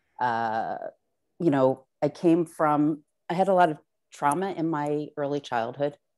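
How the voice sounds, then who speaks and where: With a Philadelphia accent, a woman speaks fairly slowly in a very deep, low voice with ordinary pitch variation. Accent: Philadelphia-area American. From US Northeast, South Jersey. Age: 40s. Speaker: artist. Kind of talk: artist talk. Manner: hesitant, many fillers.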